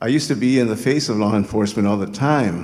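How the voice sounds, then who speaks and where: Fairly low-pitched male speech with ordinary pitch variation and audible room echo. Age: 70s. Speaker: community activist. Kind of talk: public speech. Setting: stage with audience. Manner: halting.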